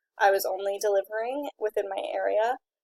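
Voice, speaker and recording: A woman talks with fairly high pitch and fairly even intonation in a plain, everyday voice. The sound is dry and close, with no echo. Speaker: student. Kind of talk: class presentation.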